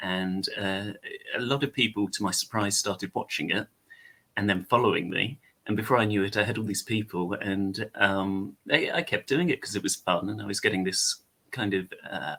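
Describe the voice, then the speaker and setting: The speaker has an English accent and a bright, sharp tone. The pace is moderate, with ordinary pitch variation. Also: man, fairly low pitch for a man. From England. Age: 30s. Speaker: content creator. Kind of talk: casual chat. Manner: hesitant, many fillers.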